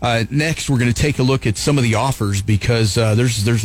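Music plays in the background as a man speaks at a fairly quick pace. His pitch is medium and his intonation fairly even. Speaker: radio show host. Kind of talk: casual sports talk radio banter. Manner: joking, teasing.

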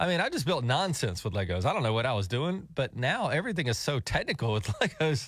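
A man with a fairly high pitch and vocal fry races along at a very fast pace with hardly any pauses, his pitch swinging very widely while his loudness stays very even, in a very clean recording with a silent background. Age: middle-aged. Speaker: radio host. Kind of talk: casual chat. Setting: studio.

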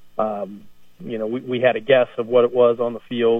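An unremarkable speaking voice belongs to a man with an American accent who talks at a fairly quick pace and a medium pitch. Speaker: high school football coach. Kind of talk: sports interview.

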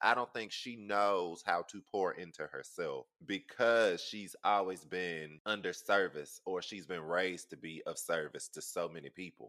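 A man with a Southern US accent at a fairly slow pace, hardly any pauses, and big swings in loudness. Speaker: podcast host. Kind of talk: casual chat.

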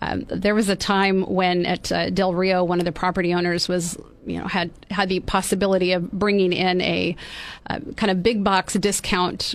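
With an American accent, a woman speaks at a medium pitch in a monotone, flat way on a very clean recording with a silent background. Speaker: mayor and county supervisor candidate. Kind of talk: radio interview. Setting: studio.

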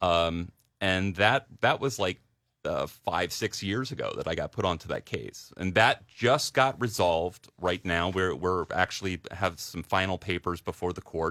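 The tone is bright and sharp, delivered at a fairly slow pace. The recording is very clean, with a silent background and a dry, close sound with no echo. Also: man, very deep, low pitch for a man, ordinary pitch variation. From Delaware, downstate. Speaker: political candidate and lawyer. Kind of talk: radio interview.

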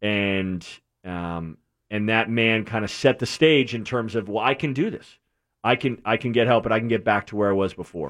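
At a moderate pace, a man with an American accent speaks in an ordinary speaking voice, his fairly low pitch carrying ordinary variation. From New England, Connecticut. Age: 30s. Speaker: recovering addict. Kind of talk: testimony.

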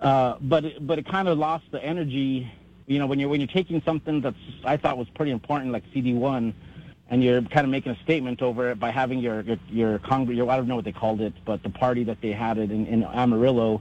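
This man's speech races along very fast, its pitch varying in an ordinary way. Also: medium pitch for a man. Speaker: caller. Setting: phone call.

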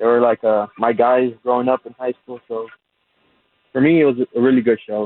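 A man at medium pitch and moderate pace. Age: 30s. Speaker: caller. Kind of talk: casual chat. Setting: phone call. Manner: halting.

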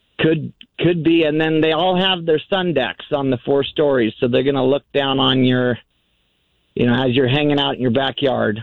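An ordinary speaking voice goes at a moderate pace, with ordinary pitch variation and very even loudness. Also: man. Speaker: radio caller. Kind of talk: call-in conversation. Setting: phone call.

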